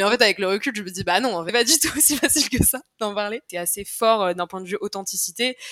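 A woman at a very fast pace, medium in pitch, with a dry, close sound and no echo. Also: ordinary pitch variation, hardly any pauses. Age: 20s. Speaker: communications manager at a start-up. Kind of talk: casual interview chat.

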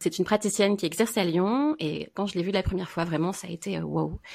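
A woman with vocal fry speaks very fast at a fairly low pitch, with ordinary pitch variation. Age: 30s. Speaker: Chinese medicine practitioner. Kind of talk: casual chat.

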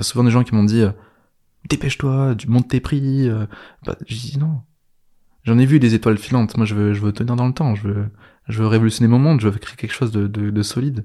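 On a very clean recording with a silent background, a man with a dark, mellow tone and medium pitch speaks with fairly even intonation, leaving long, frequent pauses. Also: fairly quick pace. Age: 20s. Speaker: business coach and entrepreneur. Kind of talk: casual interview chat. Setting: in person, co-living house.

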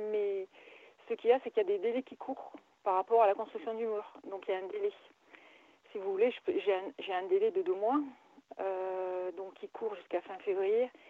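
The delivery keeps a moderate pace, broken by long, frequent pauses. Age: 50s. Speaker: caller. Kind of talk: phone consultation. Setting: phone call.

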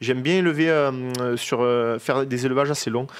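A man's fairly high pitch, fairly quick pace and ordinary pitch variation. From Provence, France (Saint-Rémy-de-Provence). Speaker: winemaker. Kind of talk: interview. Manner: halting.

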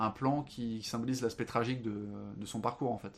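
A man at a medium pitch, moderate pace. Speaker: film and book podcast guest. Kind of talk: casual chat. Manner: halting.

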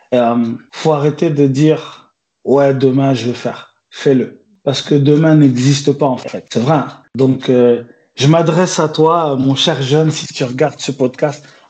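A man's very slow delivery in a dark, mellow tone. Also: fairly high pitch for a man, fairly even intonation. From France, Besançon and Paris suburbs (born in Angola). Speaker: entrepreneur, food show producer. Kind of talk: interview. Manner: hesitant, many fillers.

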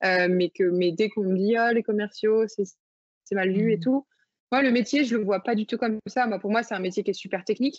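A woman talks at a moderate pace with fairly even intonation. She has an unremarkable speaking voice. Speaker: startup founder. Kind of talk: interview.

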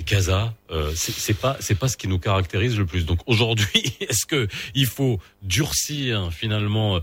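A man speaks at a moderate pace in a somewhat breathy voice, with ordinary pitch variation. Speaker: radio host. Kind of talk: morning radio talk show.

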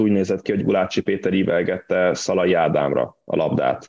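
This man talks at a fairly quick pace with a fairly low pitch. His intonation stays fairly even. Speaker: football podcast co-host. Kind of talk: casual football discussion. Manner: halting, repeats words.

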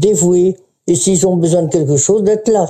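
Speaking at a fairly slow pace, a woman has a fairly low, dark, mellow voice with ordinary pitch variation. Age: 90s. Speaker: retirement home resident. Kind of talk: interview testimony. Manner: halting.

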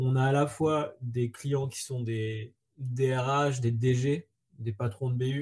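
Somewhat breathy and dark, mellow in tone, a man of medium pitch speaks with fairly even intonation. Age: 40s. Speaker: startup co-founder. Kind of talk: interview.

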